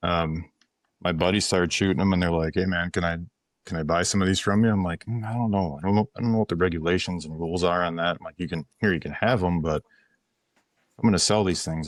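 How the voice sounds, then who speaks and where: A very fast man in an Upper Midwest US accent, very deep and low in pitch with fairly even intonation, on a very clean recording with a silent background. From western Wisconsin. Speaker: ammunition company founder. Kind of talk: casual podcast interview. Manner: halting, repetitive.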